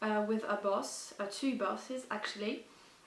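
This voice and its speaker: Speaking at a fairly slow pace, a woman has a non-native accent. Her intonation stays fairly even. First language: not English. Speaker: book vlogger. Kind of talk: casual talk to camera. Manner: hesitant.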